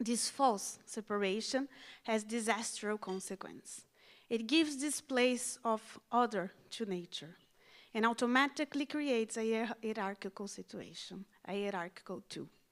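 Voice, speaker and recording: In a very clean recording with a silent background, a woman talks at a moderate pace, her fairly high pitch showing ordinary variation. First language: not English. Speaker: education and outreach specialist. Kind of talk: conference speech. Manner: formal.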